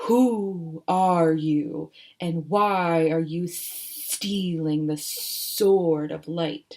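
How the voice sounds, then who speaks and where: A put-on character voice at a middle pitch speaks at a very slow pace. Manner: demanding, menacing.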